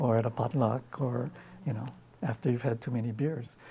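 A man speaks in a dark, mellow, somewhat breathy voice with fairly even intonation. His fairly quick speech comes over light background noise. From Hawaii. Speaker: poet. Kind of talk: interview answer. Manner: casual, hesitant. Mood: relaxed, thoughtful. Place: studio. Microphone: lapel.

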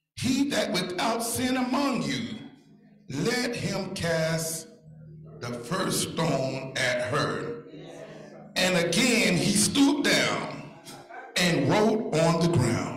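A man at a very slow pace with long, frequent pauses, audible room echo, and faint music in the background. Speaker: church elder preacher. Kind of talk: sermon scripture reading. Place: church. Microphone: handheld.

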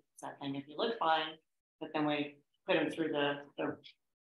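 In a room with audible echo, a woman speaks at a moderate pace with a low pitch and little pitch movement.

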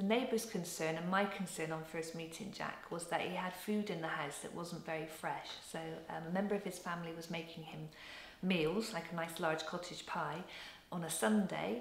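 A woman's fairly low voice with audible room echo. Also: ordinary pitch variation, moderate pace. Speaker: village agent support worker. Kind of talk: interview answer. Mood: warm, caring. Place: home room.

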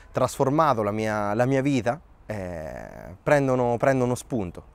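Here a man speaks at a fairly slow pace with ordinary pitch variation. The sound is dry with no echo. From Colombia, Italy (Terni) and Thailand; settled in Terni at 15-16; Colombia. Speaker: start-up founder. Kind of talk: personal storytelling interview. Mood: calm, reflective. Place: garden. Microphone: lapel.

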